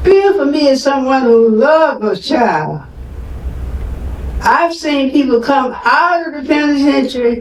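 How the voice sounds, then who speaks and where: A high-pitched woman's voice with ordinary pitch variation and noticeable background noise. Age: 90s. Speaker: activist mother of an incarcerated man. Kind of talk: speech at a community forum.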